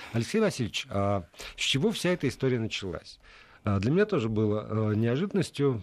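Here is a man with an ordinary speaking voice at a medium pitch. He talks at a fairly quick pace with lively intonation. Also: quiet background. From Middle Urals, Russia. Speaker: radio host. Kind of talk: radio talk show. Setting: radio studio.

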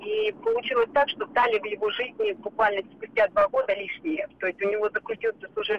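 A woman talks in an ordinary speaking voice with a fairly high pitch, ordinary pitch variation and a moderate pace. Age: 20s. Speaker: caller. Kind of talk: phone-in call.

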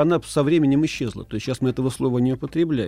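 His voice is fairly high-pitched for a man yet dark and mellow in tone. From Moscow region, Russia (Lyubertsy). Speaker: ethnologist, subculture researcher. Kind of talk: interview, expert explanation. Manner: hesitant, frequent filler sounds.

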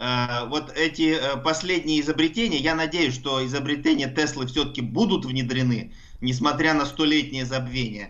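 A man with a plain, everyday voice speaks at a moderate pace in a fairly high pitch, with ordinary pitch variation and very even loudness. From Russia, Altai. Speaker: university professor of engineering. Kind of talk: explanatory radio interview.

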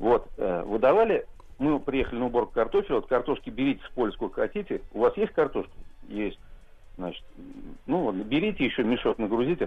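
A man at a fairly quick pace. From Kazan, Russia. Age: 50s. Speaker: caller. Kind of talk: phone call story. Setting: phone call.

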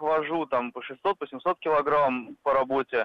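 A man with a plain, everyday voice speaks at a fairly slow pace, his pitch fairly high. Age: 30s. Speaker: radio caller. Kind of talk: phone-in call. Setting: phone call.

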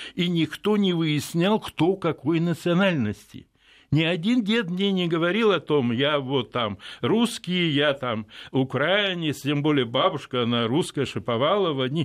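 A man with a normal speaking voice talks at a fairly high pitch. His pace is fairly slow and his loudness very even. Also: lively intonation. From Odessa, Ukraine. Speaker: philosopher and political scientist. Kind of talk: radio interview. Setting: radio studio.

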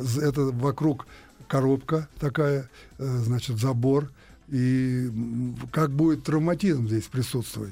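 At a very slow pace, a man talks with long, frequent pauses and very even loudness. His voice is somewhat breathy, medium in pitch, with fairly even intonation. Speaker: retired ice hockey player. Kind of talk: interview. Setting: studio. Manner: halting.

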